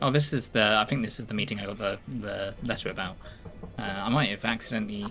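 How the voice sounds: A natural voice for reading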